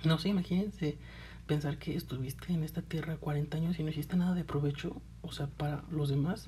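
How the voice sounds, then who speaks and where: The voice carries a Mexican accent, a dark, mellow tone and vocal fry. Its intonation stays fairly even at a fairly quick pace. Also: woman, very deep, low pitch for a woman. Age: 20s. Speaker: podcast host. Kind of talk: casual monologue.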